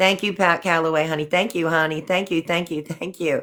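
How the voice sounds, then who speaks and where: A woman's plain, everyday voice, fairly low in pitch with fairly even intonation, in a very clean recording with a silent background. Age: 60s. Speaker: livestream host. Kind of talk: casual live chat.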